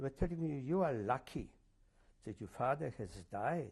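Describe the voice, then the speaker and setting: Somewhat breathy speech in a Polish accent, with very wide pitch swings. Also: man. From Poland. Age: 70s. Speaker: Holocaust survivor. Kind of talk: oral history interview. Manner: halting, many fillers.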